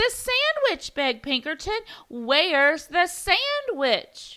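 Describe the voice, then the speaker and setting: This woman puts on a character voice, pitched extremely high, with very wide pitch swings. Her pace is fairly slow. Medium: read story. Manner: eager, pushy.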